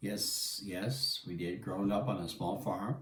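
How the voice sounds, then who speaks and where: In a New Brunswick accent, a man speaks at a fairly low pitch and a very slow pace. Audible room echo and noticeable background noise fill the recording. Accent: Miramichi New Brunswick English. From Atlantic Canada, New Brunswick (Miramichi). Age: 70s. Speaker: interviewee telling his life story. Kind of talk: family interview, life story.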